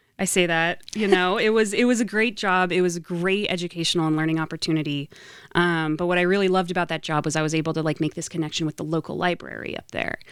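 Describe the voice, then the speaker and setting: With an American accent and fairly even intonation, the speech runs at a very fast pace on a very clean recording with a silent background. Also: woman, fairly low pitch for a woman. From Idaho, Boise. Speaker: nonprofit executive director. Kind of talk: podcast interview.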